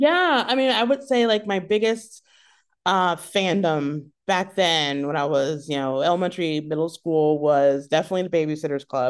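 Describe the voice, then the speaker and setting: A woman speaks at a moderate pace in an unremarkable speaking voice. Her pitch is fairly low, and her intonation is lively. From US South, South Carolina, childhood partly in Europe. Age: 40s. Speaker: comedy writer and improviser. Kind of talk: casual interview. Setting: video call.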